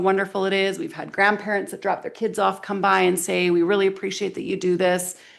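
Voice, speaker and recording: A woman speaks at a very fast pace. Her pitch is medium. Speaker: school vice principal. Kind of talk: presentation to town council. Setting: council meeting with microphones. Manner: loud.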